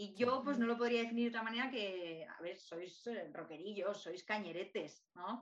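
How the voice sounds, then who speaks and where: A woman with a plain, everyday voice speaks at a moderate pace and medium pitch, with ordinary pitch variation and big swings in loudness. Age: 30s. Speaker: podcast host, holistic artist. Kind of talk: casual interview chat.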